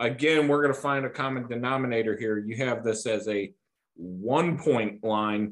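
A man with an unremarkable speaking voice, medium pitch, ordinary pitch variation, and moderate pace. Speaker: podcast host. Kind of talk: casual chat. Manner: informal, chatty.

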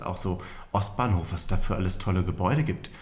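Somewhat breathy, a man talks at a fairly quick pace amid audible room echo. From northern Germany, near Hannover. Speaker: magician. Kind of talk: casual interview. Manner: hesitant, many fillers.

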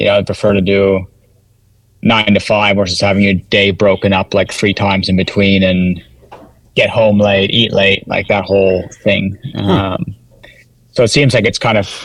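Spoken with a Maritimes accent at a moderate pace, the delivery is monotone and flat, with very even loudness and long, frequent pauses. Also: man. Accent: Canadian English (Maritimes). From Canada, New Brunswick (Sussex area). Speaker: former pro cyclist and ultra trail runner. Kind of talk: casual interview chat. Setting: video call.

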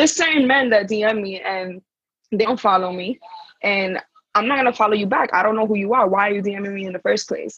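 Recorded dry and close with no echo, a woman speaks at a fairly quick pace in a medium, somewhat breathy voice with ordinary pitch variation. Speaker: panel guest. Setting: remote call from abroad.

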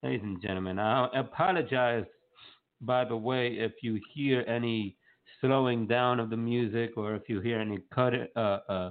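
In a normal speaking voice, a man with an American accent talks at a moderate pace, at medium pitch and with fairly even intonation. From North Carolina, US. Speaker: radio show host. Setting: live online radio broadcast.

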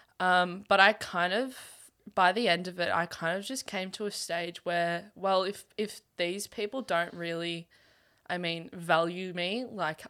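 Speaking with an Australian accent at medium pitch, a woman is heard on a very clean recording with a silent background. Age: young. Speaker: university student and runner. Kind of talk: casual chat.

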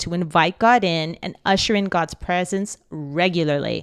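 A woman speaks at a medium pitch with ordinary pitch variation in an unremarkable speaking voice. The sound is dry and close with no echo, on a very clean recording with a silent background. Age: 40s. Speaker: spiritual life coach. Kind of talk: live-streamed faith talk. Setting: live broadcast.

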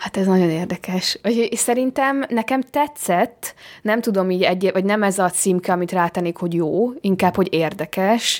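A woman in a plain, everyday voice holds a medium pitch with ordinary pitch variation, very even loudness and hardly any pauses. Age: young. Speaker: film director. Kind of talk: interview. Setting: hotel room.

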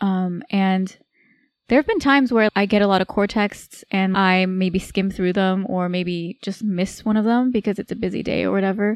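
Delivered at a moderate pace with fairly even intonation, this is an unremarkable speaking voice in a very clean recording with a silent background and a dry, close sound with no echo. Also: woman, medium pitch for a woman. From California, Bay Area. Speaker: medical resident, podcast co-host. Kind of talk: casual chat.

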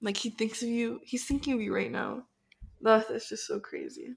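At a moderate pace, a woman speaks with vocal fry. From Miami. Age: young. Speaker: podcast co-host. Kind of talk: casual chat.

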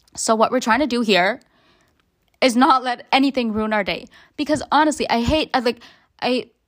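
With ordinary pitch variation, the speech moves at a fairly quick pace. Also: woman. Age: 20s. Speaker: solo podcaster. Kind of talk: casual monologue. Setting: at home alone.

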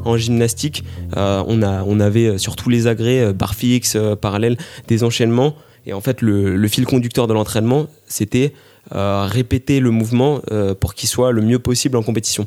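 Here a man speaks with a dark, mellow tone at medium pitch and a moderate pace. His intonation is fairly even, in a very clean recording with a silent background. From Paris region, France. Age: 20s. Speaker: amateur runner and military sports instructor. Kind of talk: interview. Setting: living room at home. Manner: hesitant with repetitions.

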